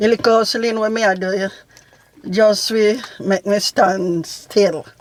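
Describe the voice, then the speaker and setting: A woman with a Jamaican accent speaks at medium pitch with fairly even intonation. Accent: Jamaican patois. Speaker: family vlog mother. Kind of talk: casual Q&A chat.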